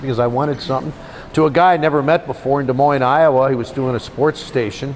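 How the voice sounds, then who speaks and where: A fairly high-pitched man speaks at a very fast pace with fairly even intonation, noticeable background noise behind him. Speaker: radio play-by-play commentator. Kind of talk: casual interview answer, storytelling about his career.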